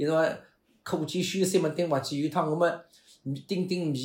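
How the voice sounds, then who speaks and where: Somewhat breathy, a man speaks at a fairly high pitch with ordinary pitch variation. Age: 50s. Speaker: pingtan storytelling performer. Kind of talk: casual interview chat.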